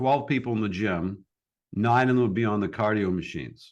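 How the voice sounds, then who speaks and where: An unremarkable speaking voice from a man, fairly low in pitch, with ordinary pitch variation, a moderate pace and a quiet background. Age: 60s. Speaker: podcast host. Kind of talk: interview. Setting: call. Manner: casual, filler-heavy.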